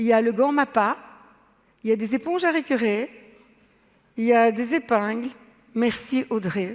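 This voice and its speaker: Long, frequent pauses interrupt speech delivered at a fairly slow pace. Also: woman, fairly high pitch for a woman, ordinary pitch variation. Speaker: artist and entrepreneur. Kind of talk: talk to a forum audience. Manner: loud, emphatic.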